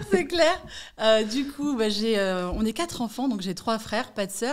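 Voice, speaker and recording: Intonation stays lively in this unremarkable speaking voice. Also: woman, fairly high pitch for a woman. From Paris region, France (Malakoff, Hauts-de-Seine). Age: 40s. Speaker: real estate agent. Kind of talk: podcast interview.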